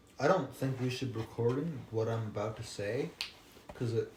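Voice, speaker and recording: A man speaks quietly. His pitch sits at a medium level. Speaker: podcast co-host. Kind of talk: casual chat.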